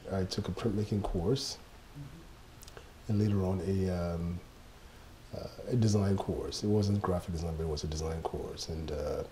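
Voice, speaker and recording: This man's voice is fairly low in pitch, with a dark, mellow tone. He sounds somewhat breathy and talks at a moderate pace. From Ghana, Accra. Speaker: graphic designer. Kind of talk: interview. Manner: reflective, with many fillers.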